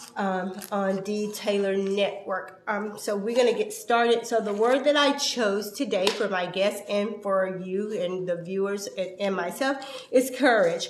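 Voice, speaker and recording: At a fairly slow pace, a woman speaks with hardly any pauses, a medium pitch and fairly even intonation. There is noticeable background noise and audible room echo. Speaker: talk show host. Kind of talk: interview show intro.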